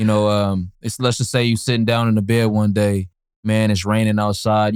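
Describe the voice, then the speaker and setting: Over a very clean recording with a silent background, a man with an American accent speaks fairly quickly at a fairly low pitch. His is a normal speaking voice. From Berkeley, California. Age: 20s. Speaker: young entrepreneur and student. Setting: outdoors.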